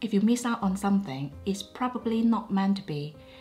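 Music plays in the background as a woman talks at a moderate pace. Her pitch is medium and her intonation lively. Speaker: luxury fashion YouTuber. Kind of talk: casual chit-chat talk to camera.

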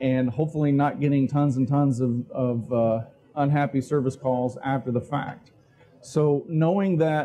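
Delivered at a moderate pace, the speech keeps a fairly even intonation. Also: man. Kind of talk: conference talk. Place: hall. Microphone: lapel.

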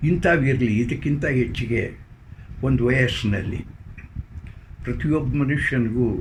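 Here a man speaks at medium pitch with ordinary pitch variation. Audible room echo surrounds the voice. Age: old. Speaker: psychologist. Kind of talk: interview.

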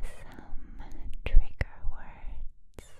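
A woman is speaking. She whispers throughout. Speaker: ASMR creator. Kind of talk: casual ASMR intro chat, soft whispery. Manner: soft close-mic ASMR voice. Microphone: studio mic.

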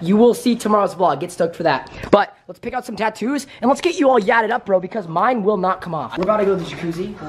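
A man with a high pitch speaks at a fast pace with few pauses and ordinary pitch variation, over faint background noise.

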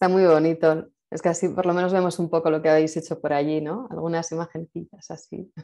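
A woman's fairly low, dark, mellow voice, fairly quick with hardly any pauses and a monotone, flat intonation. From Spain. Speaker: event host. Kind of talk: casual interview. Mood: warm, moved, smiling. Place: home room. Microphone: video call.

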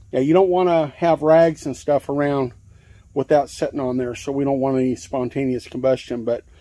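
A man speaks with a dark, mellow tone. His intonation stays fairly even. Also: medium pitch for a man, moderate pace.

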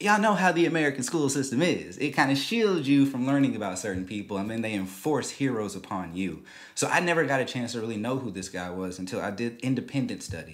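A man talks very fast with hardly any pauses, his pitch swinging very widely. The background is quiet. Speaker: show host. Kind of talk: commentary. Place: studio. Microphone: studio mic.

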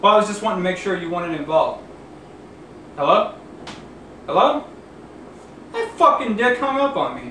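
A man's raised, projected voice at a fairly quick pace, with audible room echo and light background noise. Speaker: actor in a comedy skit. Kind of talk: acted one-sided phone call. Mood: ends angry after hang-up. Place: kitchen. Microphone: camera far.

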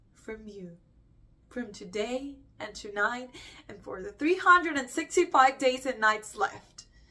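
A woman's raised, projected voice, bright and sharp, at a fairly slow pace with very wide pitch swings and big swings in loudness. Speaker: actor performing a monologue. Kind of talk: dramatic monologue. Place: home room.

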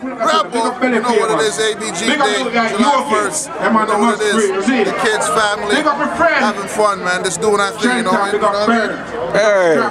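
Against crowd noise in the background, a man talks at a fairly slow pace with ordinary pitch variation. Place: street. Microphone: phone near.

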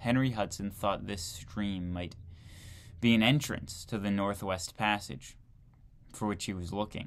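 The man's voice sits fairly low. He talks at a fairly slow pace. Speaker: video creator reading a textbook aloud. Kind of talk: reading aloud from a 1940 history textbook, with casual asides. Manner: conversational, incredulous commentary between passages. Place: home room. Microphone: webcam.

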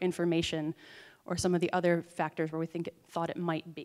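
An ordinary speaking voice with an American accent at a moderate pace over a quiet background. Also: woman. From US Midwest, Minnesota. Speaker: PhD student and lawyer presenting research. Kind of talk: conference presentation. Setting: conference stage with audience. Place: hall. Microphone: handheld.

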